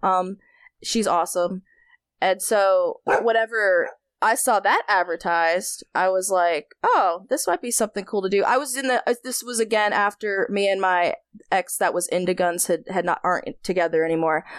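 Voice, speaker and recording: Speaking with an American accent, a woman uses a medium pitch and ordinary pitch variation at a moderate pace. The sound is dry and close, with no echo. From North Carolina. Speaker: firearms company employee. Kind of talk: casual chat. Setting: at home in bed.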